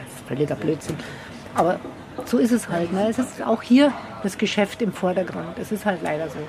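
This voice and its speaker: Over noticeable background noise, a woman with a medium pitch speaks at a moderate pace with lively intonation. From Bavaria, Germany. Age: 60s. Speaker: hiking guide. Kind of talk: interview. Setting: bakery.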